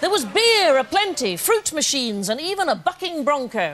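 A woman's high-pitched voice with a fairly bright tone and big pitch swings. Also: moderate pace.

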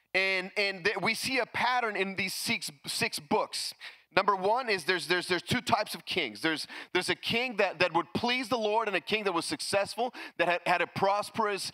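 A man speaks in a raised, projected voice with a bright, sharp tone. His pace is moderate, the pitch variation ordinary, and the background quiet. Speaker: pastor. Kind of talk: sermon. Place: church. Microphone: handheld.

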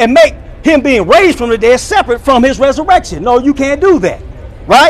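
The speech comes at a very fast pace in an animated tone. The pitch swings very widely. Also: man. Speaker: online preacher reacting to another preacher. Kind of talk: sermon-style commentary. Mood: argumentative, rebutting. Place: street. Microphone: phone near.

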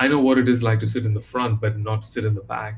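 A man's somewhat breathy, monotone voice with flat intonation, over light background noise. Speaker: interview guest. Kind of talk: interview answer. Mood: warm, engaged. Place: home room.

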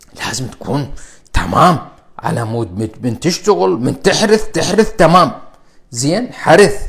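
An animated man's voice, fairly high in pitch, with very wide pitch swings. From Iraq. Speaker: cardiologist. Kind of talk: live stream health talk. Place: home room. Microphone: lapel.

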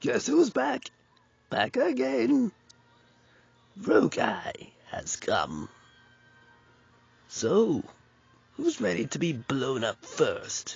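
Using a put-on character voice, a man talks at a very slow pace with long, frequent pauses. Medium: voice reel.

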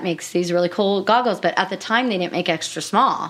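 Delivered at a very fast pace with ordinary pitch variation, this voice carries an American accent. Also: woman. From San Francisco Bay Area, California (Fremont); California. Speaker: ultramarathon runner; podcast guest. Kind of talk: casual interview. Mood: animated, expressive storytelling. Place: studio. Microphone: studio mic.

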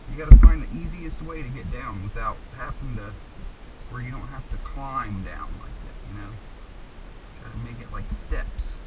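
A man talks with long, frequent pauses. Music plays in the background. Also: moderate pace. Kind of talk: casual instruction to children. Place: tunnel cave. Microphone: helmet.

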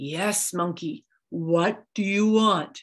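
A woman puts on a booming character voice at a medium pitch, with a quiet background behind her. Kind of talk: storytelling performance. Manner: authoritative, commanding.

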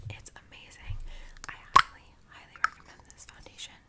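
Through loud background noise, a woman keeps to a moderate pace. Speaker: beauty vlogger. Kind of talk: casual vlog chat. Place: home room. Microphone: earbuds.

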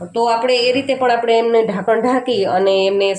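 A woman with a fairly high voice keeps her intonation fairly level while noticeable noise sounds behind her. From Junagadh, Gujarat, India. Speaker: cooking YouTuber. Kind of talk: cooking tutorial.

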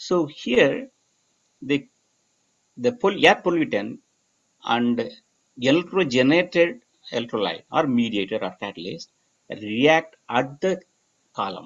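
A man's voice with very wide pitch swings and long, frequent pauses. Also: fairly high pitch for a man, moderate pace. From Tamil Nadu, India. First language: Tamil. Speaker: research professor. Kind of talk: lecture. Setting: video call. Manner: halting. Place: home room. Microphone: webcam.

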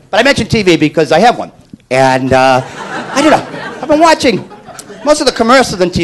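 Over crowd noise in the background, a man with a high pitch speaks with very wide pitch swings. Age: under 50. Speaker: stand-up comedian. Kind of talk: stand-up.

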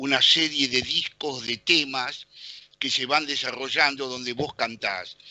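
A man speaks very slowly at medium pitch with ordinary pitch variation. The background is quiet and the sound is dry with no echo. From Argentina. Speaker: radio co-host. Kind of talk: radio interview. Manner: hesitant, many fillers. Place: home room. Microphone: headset.

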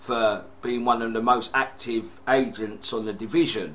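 A man with a British accent, at a very slow pace. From UK. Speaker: gaming YouTuber. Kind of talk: casual unboxing vlog. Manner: excitable. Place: home room. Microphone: webcam.

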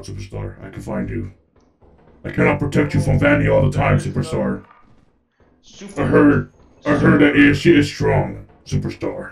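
A man puts on a raspy, robotic character voice. He moves at a moderate pace with long, frequent pauses. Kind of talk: goofy gaming-session character play. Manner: overly friendly mascot showman, mock-protective.

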